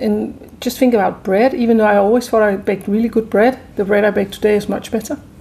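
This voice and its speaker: A woman speaks in a fairly high pitch with a dark, mellow tone and fairly even intonation. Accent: Danish. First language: Danish. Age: 50s. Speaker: chef and restaurant entrepreneur. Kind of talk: interview.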